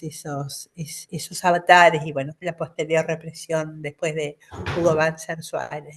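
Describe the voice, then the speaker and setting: A woman has a plain, everyday voice with a fairly low pitch. She speaks at a fairly slow pace. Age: 60s. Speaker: academic commentator. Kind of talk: panel commentary.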